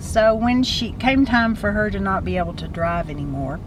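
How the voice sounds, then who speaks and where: Noticeable background noise and audible room echo surround a woman with a Texan accent. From West Texas (Midland). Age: 60s. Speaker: storyteller, grandmother. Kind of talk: casual chat. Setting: in a car.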